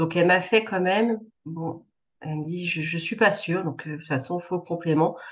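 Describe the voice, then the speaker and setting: A woman with a normal speaking voice talks at a moderate pace and fairly low pitch, her intonation fairly even but her loudness swinging widely. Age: 30s. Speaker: cancer survivor, administrative assistant. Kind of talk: testimony.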